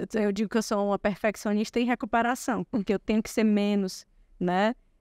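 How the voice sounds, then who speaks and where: A woman's fairly high voice at a fairly quick pace, fairly even in intonation, in a very clean recording with a silent background and a dry, close sound with no echo. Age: 40s. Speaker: lawyer. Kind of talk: podcast interview. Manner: fast.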